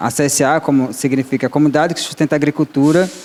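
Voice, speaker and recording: A man's fairly high voice rushes along very quickly. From Guarani Kaiowá community, Mato Grosso do Sul, then Bahia backcountry. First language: Guarani (Tupi family) (speaking Portuguese). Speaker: agroecological farmer and panelist. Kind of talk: panel talk. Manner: halting, with self-corrections.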